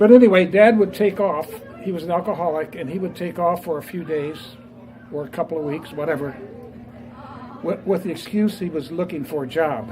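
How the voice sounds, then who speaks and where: A man with a Midwestern US accent speaks in a high voice with ordinary pitch variation, leaving long, frequent pauses. Crowd noise carries in the background, and the room echo is audible. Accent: US Midwest. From Indiana, Fort Wayne area. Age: 80s+. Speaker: business founder and author. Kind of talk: speech to a live audience. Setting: talk at a restaurant event with audience. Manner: hesitant, many fillers.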